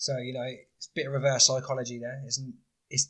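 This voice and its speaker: A man talks in a British accent with a somewhat breathy voice. His intonation is monotone and flat. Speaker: podcast host. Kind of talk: casual solo podcast talk. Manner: hesitant, many fillers.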